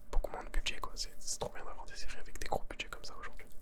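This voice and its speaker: A man whispers at a very fast pace. Noticeable background noise sits behind him. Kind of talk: ASMR whispered chat about series and pop culture. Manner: whispered, soft-spoken, casual.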